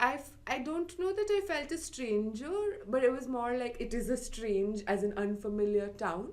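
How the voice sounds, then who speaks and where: In an Indian accent, a woman with a high pitch speaks at a moderate pace, her pitch swinging very widely. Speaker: library podcast co-host. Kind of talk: casual chat. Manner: animated, chatty.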